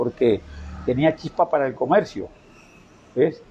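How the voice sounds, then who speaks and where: This man's voice is fairly high in pitch, with a dark, mellow tone. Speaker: veteran merchant. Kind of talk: interview. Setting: his home.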